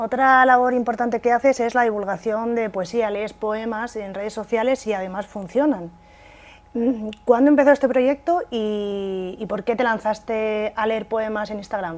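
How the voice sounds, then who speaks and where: A woman speaks in a normal speaking voice at a moderate pace. Her pitch is fairly high and varies in an ordinary way. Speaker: TV interviewer. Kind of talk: TV interview host. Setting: studio.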